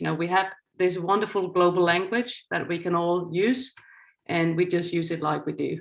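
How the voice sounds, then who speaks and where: A woman with a Danish accent, fairly low in pitch, at a moderate pace with fairly even intonation. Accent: Danish, still quite noticeable. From Denmark. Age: 50s. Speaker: news executive. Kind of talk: lecture. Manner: reading from a script.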